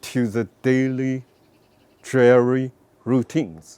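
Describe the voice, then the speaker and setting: The voice moves at a very slow pace, with a dry, close sound and no echo. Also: man. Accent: Chinese. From northwestern China. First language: Chinese. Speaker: painter. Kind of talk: personal interview storytelling. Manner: halting.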